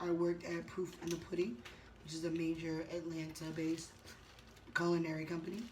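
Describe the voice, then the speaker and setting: A woman with an American accent talks at a fairly quick pace in a fairly low, monotone, flat voice, with long, frequent pauses and audible room echo. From Boston, northern US. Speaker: chef. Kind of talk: casual mukbang chat. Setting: hotel room. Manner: fast.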